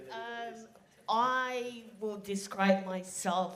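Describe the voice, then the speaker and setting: Over noticeable background noise and audible room echo, a woman speaks very slowly in a shaky, medium-pitched voice with ordinary pitch variation. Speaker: audience member asking a question. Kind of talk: audience question at a live event. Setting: conference hall with live audience. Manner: shaky, nervous.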